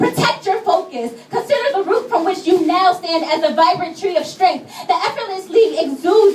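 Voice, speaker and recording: Speaking at a moderate pace with lively intonation, a woman is heard over noticeable background noise. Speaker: spoken word poet. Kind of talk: spoken word poetry performance. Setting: live gallery event. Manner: some stuttering, shaky delivery.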